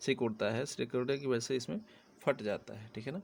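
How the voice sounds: A man speaks at a fairly quick pace with vocal fry and a slightly mellow tone. His medium pitch shows ordinary variation.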